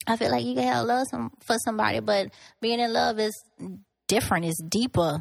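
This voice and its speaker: On a very clean recording with a silent background, a woman at medium pitch speaks at a fairly quick pace with very wide pitch swings. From Lafayette, Louisiana. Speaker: podcast guest. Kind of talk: casual chat. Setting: studio.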